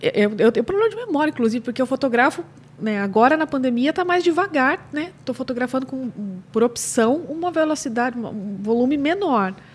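Noticeable background noise sits behind a woman speaking at a fairly quick pace. Her high voice swings very widely in pitch. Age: 40s. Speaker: newborn and family photographer, podcast co-host. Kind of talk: casual chat.

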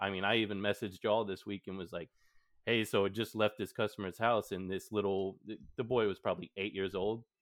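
In a flat monotone, a man with an American accent speaks at a fairly low pitch and a fairly quick pace. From Texas. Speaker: podcast host. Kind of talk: casual chat.

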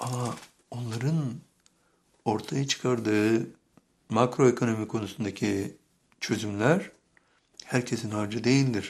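The speaker goes very slowly with long, frequent pauses and fairly even intonation. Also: man, medium pitch for a man. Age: 70s. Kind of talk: sermon.

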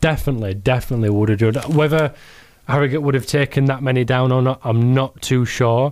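Speaking at a very fast pace with a Yorkshire accent, a man keeps a very even loudness and fairly even intonation. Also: medium pitch for a man. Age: 20s. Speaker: hospital radio sports host. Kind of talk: casual chat. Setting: studio.

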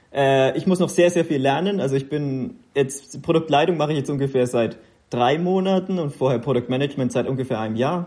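A man with a fairly high pitch and a dark, mellow tone speaks at a moderate pace. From Upper Franconia, Kulmbach. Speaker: mobile games product lead. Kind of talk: interview.

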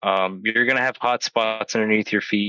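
The sound is dry and close with no echo. A man talks at a moderate pace and medium pitch in a bright, sharp tone. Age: 20s. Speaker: soldier. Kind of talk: casual chat.

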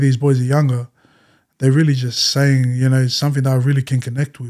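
A man in an Australian accent talks at a very fast pace, his voice fairly high-pitched with a dark, mellow tone. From Western Sydney, Australia. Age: 20s. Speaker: rapper. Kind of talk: casual chat.

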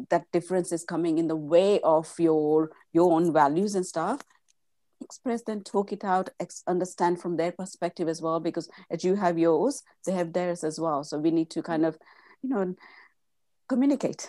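A woman speaks at a moderate pace with a fairly low pitch and a dark, mellow tone. Her pitch varies in an ordinary way, and the sound is dry and close with no echo over a quiet background. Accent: Indian. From India. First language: Gujarati. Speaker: mindset coach. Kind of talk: interview. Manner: halting.

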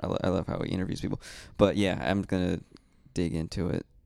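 On a very clean recording with a silent background, a man speaks at a moderate pace in a very deep, low pitch, with vocal fry and ordinary pitch variation. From Mexican-American background. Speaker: stand-up comedian. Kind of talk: casual chat. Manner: reserved, subtle.

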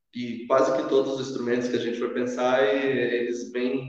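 The room echo is audible. A man talks within it. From Sorocaba, interior São Paulo, Brazil. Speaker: shaman and holistic therapist. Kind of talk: casual interview chat.

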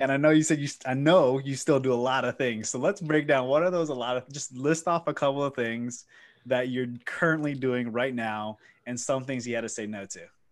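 A man talks at a fairly quick pace in a normal speaking voice, pitched in the medium range. His pitch varies in an ordinary way against a quiet background. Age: 20s. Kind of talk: casual chat.

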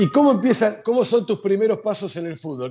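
A man with a Rioplatense accent, high-pitched, at a moderate pace, music playing in the background. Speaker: podcast host. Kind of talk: interview.

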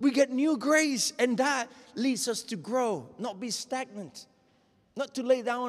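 The speech moves at a fairly slow pace in a passionate, animated tone. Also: man. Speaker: preacher. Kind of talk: sermon. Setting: church. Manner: passionate, exhorting.

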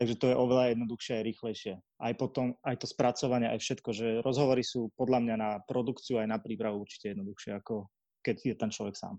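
A man at medium pitch with a dark, mellow tone and fairly even intonation, very fast, in a dry, close sound with no echo and a quiet background. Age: 20s. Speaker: marketer and podcaster. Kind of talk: casual interview.

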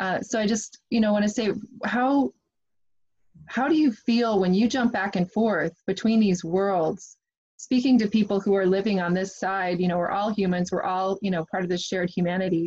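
Somewhat breathy, a woman speaks at a moderate pace with medium pitch and ordinary pitch variation. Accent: American. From US Midwest. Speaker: podcast host. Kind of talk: casual interview.

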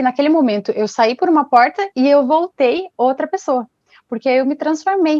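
A woman with lively intonation at a moderate pace. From Brazil, Paraná (Ponta Grossa). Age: 20s. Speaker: fashion designer and artisan, single mother. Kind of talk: casual interview.

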